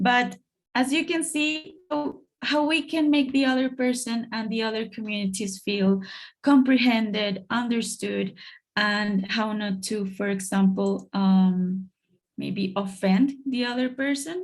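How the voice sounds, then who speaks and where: With a Colombian accent, a woman speaks at a fairly slow pace in a somewhat breathy voice, fairly high in pitch, with lively intonation. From Colombia, Bogota. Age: 30s. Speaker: international education officer. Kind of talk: online presentation. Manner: hesitant, with fillers.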